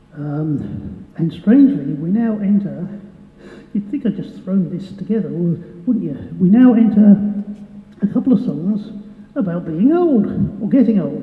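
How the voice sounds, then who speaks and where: At a fairly slow pace, a woman of medium pitch speaks with lively intonation, with noticeable background noise and audible room echo. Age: 60s. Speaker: singer-songwriter. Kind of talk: stage banter. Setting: stage with audience. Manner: halting.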